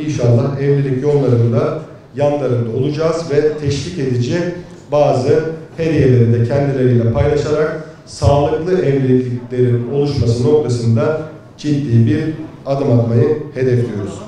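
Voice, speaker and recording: Spoken at a moderate pace with fairly even intonation and very even loudness, the voice comes through strong room echo over light background noise. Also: man. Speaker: candidate. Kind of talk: campaign speech presenting projects. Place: hall.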